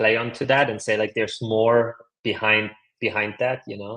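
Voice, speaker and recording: With a non-native accent, a man speaks at a moderate pace and a medium pitch. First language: not English. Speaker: leadership coach and author. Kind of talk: podcast interview. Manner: casual, filler-heavy speech.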